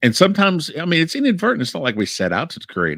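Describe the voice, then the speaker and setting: The voice belongs to a man. The recording is very clean, with a silent background. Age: 50s. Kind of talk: casual discussion. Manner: halting, many fillers and repeats.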